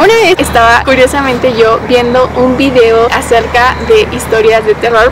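A woman is talking, and there is noticeable background noise behind her. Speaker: youtuber. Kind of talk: casual talk to camera, vlog-style storytelling. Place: forest.

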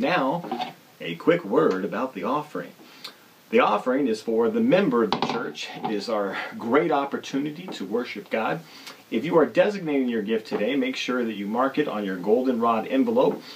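This man speaks at a moderate pace with lively intonation. Light background noise can be heard. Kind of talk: church announcements video. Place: home room.

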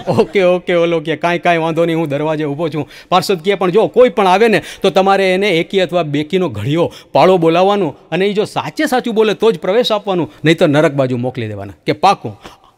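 Over a quiet background, a high-pitched man talks in an animated tone with lively intonation. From Gujarat, India. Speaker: stand-up comedian. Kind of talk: stand-up. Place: studio. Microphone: studio mic.

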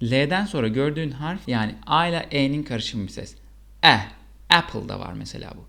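This man's voice is fairly high-pitched, with a bright, sharp tone. He speaks at a fairly slow pace. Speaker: English teacher. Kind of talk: tutorial. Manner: slow, deliberate pronunciation drills.

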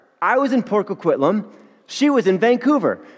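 A man is talking, moving at a moderate pace. Nothing much sounds behind him. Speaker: pastor. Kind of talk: sermon. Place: church.

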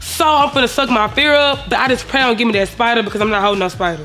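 The woman's pitch is high and varies in an ordinary way. She talks very fast over faint music in the background. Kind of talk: confessional interview. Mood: animated, laughing, defiant. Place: studio.

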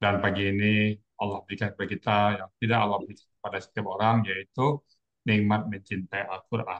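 Over a quiet background, a man with a fairly low pitch talks very fast in a flat, monotone delivery. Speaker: Quran teacher. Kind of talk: religious lesson. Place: home room. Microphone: video call.

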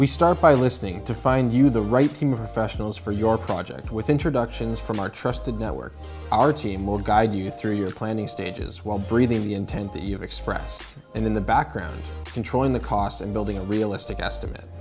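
Over music in the background, a man talks fairly quickly with hardly any pauses, his fairly low voice making very wide pitch swings. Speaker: company founder giving a voice-over. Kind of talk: corporate narration.

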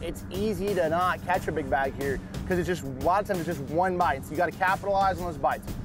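Clear music plays in the background as a man talks at a fairly quick pace with monotone, flat intonation. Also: dry sound with no echo. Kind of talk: interview answer. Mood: focused, calm. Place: boat.

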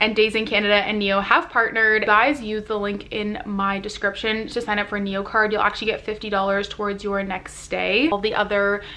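Speaking at a fairly quick pace, a woman keeps her intonation flat and monotone. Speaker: vlogger. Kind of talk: casual vlog chat. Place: home room. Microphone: phone near.

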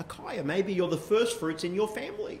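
A man speaks with audible room echo. Light background noise runs underneath. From Australia. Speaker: pastor. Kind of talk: sermon. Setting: church. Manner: hesitant, frequent fillers. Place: church.

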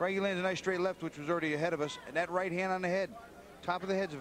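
Against noticeable background noise, a man with a high pitch speaks at a very fast pace in an energetic tone. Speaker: boxing analyst. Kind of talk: live commentary. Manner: analytical, conversational, energetic ringside analysis.

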